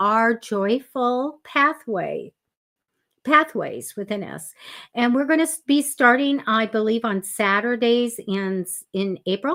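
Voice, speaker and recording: A woman with a fairly high pitch speaks at a very slow pace with lively intonation on a very clean recording with a silent background. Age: 70s. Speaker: psychic reader and writer. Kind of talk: casual chat. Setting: live stream from home office. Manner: hesitant, with many fillers.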